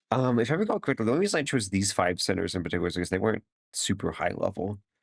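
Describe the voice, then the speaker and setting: A man talks at a very fast pace with an animated tone and lively intonation. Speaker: YouTuber commenting on own old video. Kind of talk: casual commentary.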